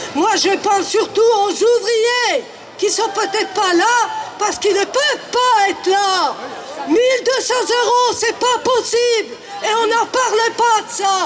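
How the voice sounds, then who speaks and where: Over crowd noise, a man with an extremely high pitch talks at a very slow pace with fairly even intonation. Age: 70s. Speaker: protester. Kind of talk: street protest speech.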